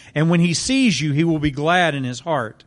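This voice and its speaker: Against a quiet background, a man with a normal speaking voice talks at a moderate pace. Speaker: scripture reader. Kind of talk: reading aloud. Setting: church.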